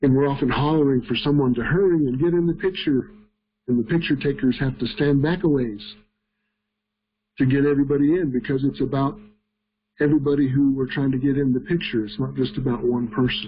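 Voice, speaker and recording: A man uses an ordinary speaking voice at a fairly quick pace with ordinary pitch variation. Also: fairly high pitch for a man. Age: 60s. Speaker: leadership trainer. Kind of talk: webinar lecture. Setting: online webinar.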